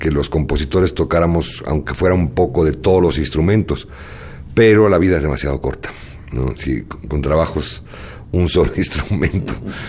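Over noticeable background noise, a man talks at a moderate pace with a very deep, low pitch and ordinary pitch variation. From Spain, moved to Mexico. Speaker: jazz arranger and composer. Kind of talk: radio interview.

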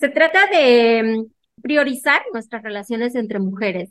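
A woman with a high voice and lively intonation at a moderate pace. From Mexico, Hermosillo, Sonora. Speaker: literature graduate student. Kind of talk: interview.

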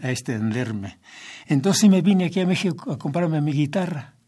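A man talks with lively intonation in a somewhat breathy voice. The recording is very clean, with a silent background. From southern State of Mexico, Mexico. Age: 80s+. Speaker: organist, church singer and composer. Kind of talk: interview. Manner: halting, with repetitions.

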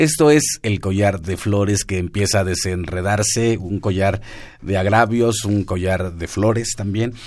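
Someone with an ordinary speaking voice talks at a fairly slow pace. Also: man, fairly low pitch for a man, ordinary pitch variation. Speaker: radio host. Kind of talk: radio interview. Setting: radio studio.

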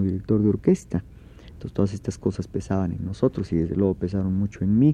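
Here a man talks at a fairly quick pace, his voice pitched fairly low with a dark, mellow tone. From Oaxaca, Mexico. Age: 40s. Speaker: orchestra conductor and composer. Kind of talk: radio interview.

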